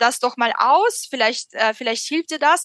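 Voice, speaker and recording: In a Russian accent, a woman speaks at a high pitch with lively intonation and a bright, sharp tone. The sound is dry and close with no echo, and her pace is moderate. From Russia, Moscow. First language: Russian (speaking German). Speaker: author. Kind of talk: interview. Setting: video call. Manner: halting, many fillers.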